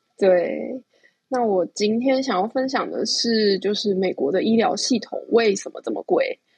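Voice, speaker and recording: In a dry, close sound with no echo, a woman speaks at a fairly slow pace. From Taiwan. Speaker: overseas contributor. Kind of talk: casual chat. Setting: remote call.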